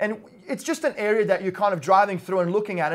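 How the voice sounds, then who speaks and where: Very fast speech comes from a man with an Australian accent. The pitch varies in an ordinary way, and the recording is very clean with a silent background. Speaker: real estate investor and vlogger. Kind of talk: vlog monologue. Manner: casual, filler-heavy.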